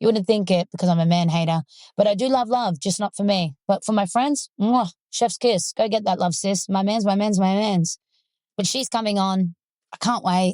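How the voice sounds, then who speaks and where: A woman with an Australian accent and a dark, mellow tone speaks at medium pitch and a moderate pace with ordinary pitch variation, in a dry, close sound with no echo and a quiet background. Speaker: podcast host. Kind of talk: casual chat. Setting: in a parked car. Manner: animated.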